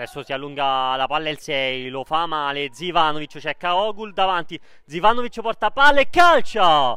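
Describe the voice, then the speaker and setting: Here a man speaks at a moderate pace with a fairly high pitch and lively intonation. His tone is bright and sharp, on a very clean recording with a silent background. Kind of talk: live sports commentary.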